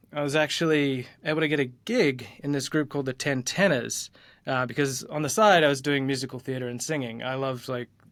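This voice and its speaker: The speaker has an Australian accent and a fairly quick pace. The intonation stays fairly even. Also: man, fairly high pitch for a man. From Australia, Gold Coast. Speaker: design leader, former tenor singer. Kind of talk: interview, casual chat. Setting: soundproof conference room, remote interview. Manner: casual, many fillers.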